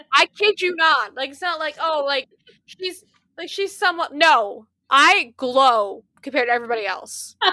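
A woman's high-pitched, raised, projected voice with a bright, sharp tone at a moderate pace. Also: big swings in loudness. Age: 20s. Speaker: podcast co-host. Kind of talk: casual chat. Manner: animated.

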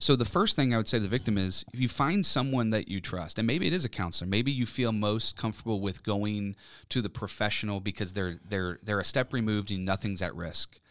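In a very clean recording with a silent background, an unremarkable speaking voice moves at a fairly quick pace with ordinary pitch variation. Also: man, fairly low pitch for a man. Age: 30s. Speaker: professor and author. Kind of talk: interview testimony. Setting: recording studio.

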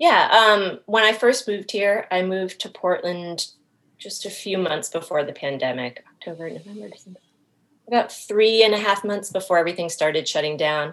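A woman with a plain, everyday voice and an American accent, medium in pitch, at a moderate pace, with ordinary pitch variation and big swings in loudness. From Maine, US. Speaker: small business owner, dog treat baker. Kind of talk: casual interview. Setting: call.

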